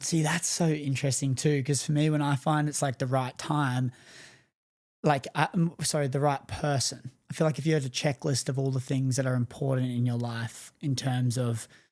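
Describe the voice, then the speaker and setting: Speaking at a moderate pace and fairly high pitch, a man keeps fairly even intonation and very even loudness in a very clean recording with a silent background. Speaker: podcast host. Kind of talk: casual interview chat.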